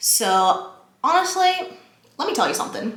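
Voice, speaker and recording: Amid noticeable background noise and audible room echo, a woman speaks in an animated tone with very wide pitch swings. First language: not English (English is third language). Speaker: lifestyle vlogger. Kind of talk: casual chat.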